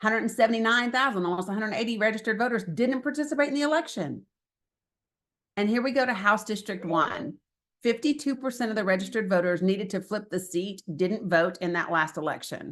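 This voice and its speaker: A woman with an Appalachian accent, very fast and with lively intonation. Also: fairly high pitch for a woman. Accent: Southern US (Appalachian). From Northeast Tennessee / Southwest Virginia. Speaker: political organizer. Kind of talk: presentation.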